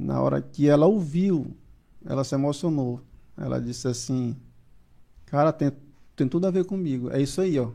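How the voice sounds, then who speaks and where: Long, frequent pauses break up a man's speech, delivered at a moderate pace. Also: fairly high pitch for a man, ordinary pitch variation. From Maranhão, Brazil. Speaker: music producer. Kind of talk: casual chat.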